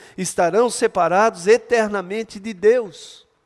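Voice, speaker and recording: The voice moves at a fairly slow pace in an animated tone. Its pitch variation is ordinary. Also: man. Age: 60s. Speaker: pastor. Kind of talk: sermon. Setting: church.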